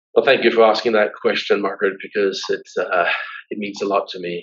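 Here a man speaks with a Danish accent. His pace is fairly quick. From Denmark, raised abroad in diplomatic postings. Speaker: business executive and university trustee chair. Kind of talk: interview. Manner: hesitant with fillers and repetitions.

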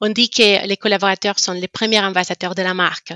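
A woman has an ordinary speaking voice with a medium pitch and fairly even intonation. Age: 30s. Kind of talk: interview.

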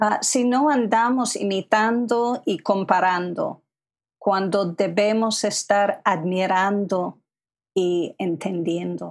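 Very slowly and at a very even loudness, a woman with an English accent talks with ordinary pitch variation. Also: medium pitch for a woman. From US, Philadelphia area. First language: English (speaking Spanish). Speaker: literary translator and writer. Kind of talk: interview conversation.

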